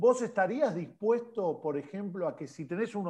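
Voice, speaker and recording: This voice has a dark, mellow tone. It moves at a moderate pace with ordinary pitch variation. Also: man. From Argentina. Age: 40s. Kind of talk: casual chat.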